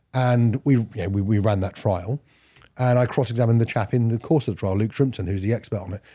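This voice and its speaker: In a London accent, the speaker talks at a very fast pace with a dark, mellow tone, a somewhat breathy quality, and ordinary pitch variation, on a very clean recording with a silent background. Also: man. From West London, England. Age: 40s. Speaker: criminal barrister and crime author. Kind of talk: casual interview chat.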